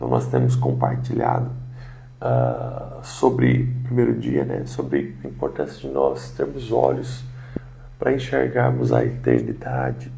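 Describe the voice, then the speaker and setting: Soft-spoken and monotone with flat intonation, a man talks at a fairly slow pace and a very deep, low pitch, with audible room echo and noticeable background noise. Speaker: pastor. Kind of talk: devotional sermon livestream. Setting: home livestream. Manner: soft-spoken, talking quietly; hesitant fillers.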